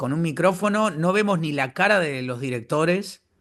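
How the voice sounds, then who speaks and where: A man with an Argentine accent speaks at a fairly high pitch with lively intonation. The background is quiet. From Argentina. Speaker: voice actor. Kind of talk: interview answer.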